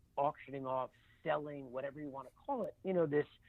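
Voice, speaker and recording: At a moderate pace, a man in an unremarkable speaking voice talks with lively intonation and a fairly high pitch. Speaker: charity auctioneer. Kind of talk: interview answer.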